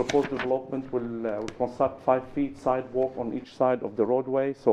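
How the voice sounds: A man speaks at a medium pitch and a moderate pace. His intonation stays fairly even.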